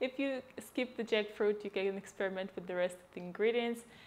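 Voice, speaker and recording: A woman with a Russian accent talks at a fairly high pitch. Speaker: cooking vlogger. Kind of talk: cooking tutorial. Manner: casual, with many fillers.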